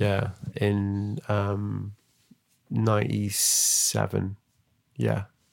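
A man speaks with a Mancunian accent at a very slow pace. His speech has long, frequent pauses. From Manchester, England. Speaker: podcast host and snowboard journalist. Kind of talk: casual interview chat. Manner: halting, many false starts.

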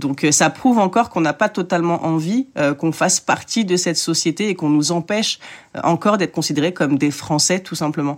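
A woman's fairly low voice at a fairly quick pace, with ordinary pitch variation, in a very clean recording with a silent background. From France, working-class suburb. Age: 20s. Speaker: journalist and author. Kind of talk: interview. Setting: recorded at an art school. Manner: halting, frequent repetitions.

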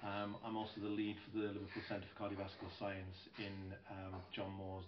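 Over noticeable background noise and audible room echo, the speaker uses monotone, flat intonation in a South Welsh accent. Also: man. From Wales, South Wales mining community. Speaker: nursing professor and researcher. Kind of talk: interview conversation. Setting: conference venue, out in the wild.

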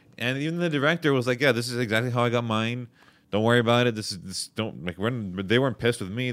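Speaking with a Montreal accent, this voice moves at a very fast pace with ordinary pitch variation. The recording is very clean, with a silent background. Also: man. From Montreal, Quebec. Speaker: comedian. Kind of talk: casual chat.

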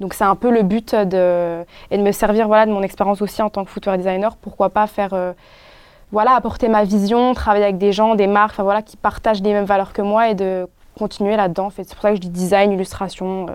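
On a very clean recording with a silent background, a woman speaks at a fairly quick pace in a monotone, flat intonation, her loudness swinging widely. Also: medium pitch for a woman. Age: 20s. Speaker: illustrator and footwear designer. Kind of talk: casual chat.

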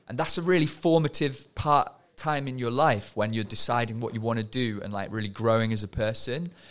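A man has a normal speaking voice with a medium pitch and ordinary pitch variation. He speaks at a fairly quick pace in a very clean recording with a silent background. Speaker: former project manager at a youth music studio. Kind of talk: casual podcast chat.

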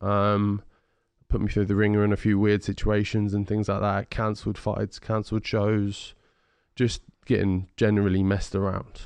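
A man with a fairly low pitch speaks in a monotone, flat way at a very even loudness. The background is quiet. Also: moderate pace. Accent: southern English. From England, Ipswich (Suffolk). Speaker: heavyweight boxer. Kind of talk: casual interview. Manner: articulate, well-spoken.

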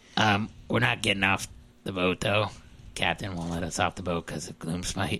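A raspy put-on character voice from a man, very deep and low in pitch, at a moderate pace. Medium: actual play. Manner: rambling, casual, over-eager.

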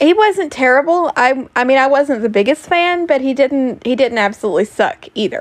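Loud and animated, the speaker uses lively intonation at a moderate pace with hardly any pauses. The background is quiet. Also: woman, high pitch for a woman. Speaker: podcaster and streamer. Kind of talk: casual monologue.

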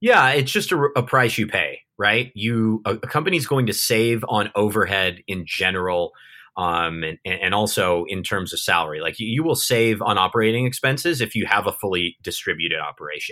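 A man with an American accent speaks in a bright, sharp tone with lively intonation and hardly any pauses. The recording is very clean, with a silent background. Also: fairly low pitch for a man, fairly quick pace. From Southern California. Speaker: remote-work company founder. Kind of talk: interview conversation. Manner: halting, many fillers and repeats.

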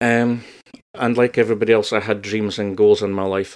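On a very clean recording with a silent background, a man with a strong northeast Scottish accent talks at a fairly quick pace in monotone, flat intonation. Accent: northeast Scottish (Doric), broad. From northeast Scotland. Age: 40s. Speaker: creative coach. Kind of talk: casual interview chat.

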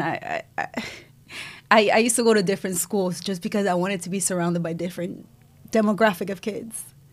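This is a plain, everyday voice. A woman speaks with a medium pitch and fairly even intonation. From Cuba, raised in Israel and US. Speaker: entrepreneur. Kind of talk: casual interview.

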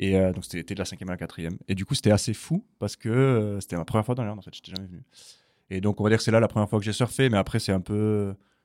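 A man at a very fast pace, fairly even in intonation but with big swings in loudness, on a very clean recording with a silent background. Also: fairly low pitch for a man. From Toulouse, southwestern France. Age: 20s. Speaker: customer success manager. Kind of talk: casual chat.

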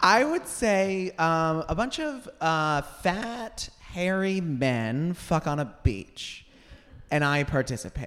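In a very clean recording with a silent background, a man with an American accent speaks very slowly at a high pitch, his voice swinging very widely up and down. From United States. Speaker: comedian and TV writer. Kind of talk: live podcast interview. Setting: stage with audience.

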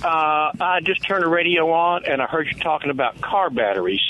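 The speaker has a Mississippi accent and talks at a moderate pace. Noticeable background noise is present. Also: man. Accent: Southern US (Mississippi). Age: 60s. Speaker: caller. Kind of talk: phone-in question. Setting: phone call.

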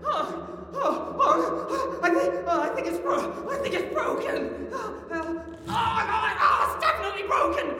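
In a put-on character voice with lively intonation, the speaker goes at a fairly slow pace with long, frequent pauses over clear music in the background. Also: man, extremely high pitch for a man.

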